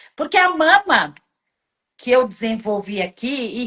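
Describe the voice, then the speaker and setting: The speaker, with an Italian-Brazilian accent, moves through very wide pitch swings at a fairly slow pace. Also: woman. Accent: Italian-Brazilian accent as persona. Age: 60s. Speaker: live show host. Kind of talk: casual chat. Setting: live stream.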